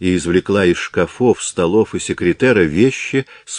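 What you hear is plain reading aloud.

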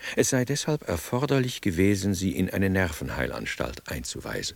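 A man's put-on character voice, low in pitch with vocal fry, big pitch swings and a moderate pace

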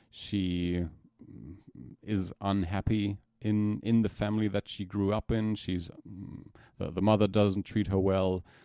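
This man speaks fairly slowly in a German accent, his fairly low voice dark and mellow in tone and flat, monotone in intonation. Long pauses come often, and the sound is dry and close with no echo. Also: very clean recording, silent background. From Germany. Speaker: podcast co-host. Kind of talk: casual chat. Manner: hesitant, repeats words.

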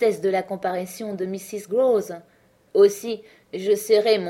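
This is natural-sounding reading aloud with ordinary pitch variation.

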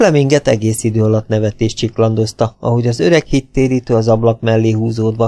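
Intonation stays fairly even throughout an unforced reading voice.

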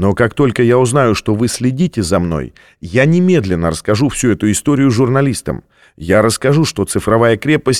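Reading in an unforced voice

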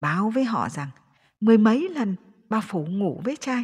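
A natural voice reading text aloud.

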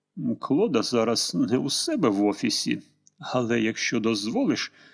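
The voice reads in an unforced way. The background is quiet.

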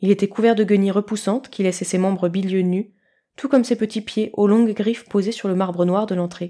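Here is an unforced reading voice with fairly even intonation. The background is quiet.

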